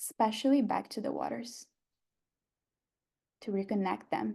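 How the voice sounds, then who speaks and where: A woman with a Brazilian Portuguese accent at a moderate pace. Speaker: photographer and workshop teacher. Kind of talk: online workshop talk.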